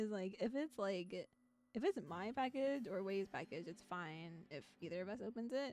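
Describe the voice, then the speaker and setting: A soft-spoken woman at medium pitch, lively in intonation, at a moderate pace. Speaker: VTuber streamer playing visual novels. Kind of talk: casual live-stream chat with game text read aloud.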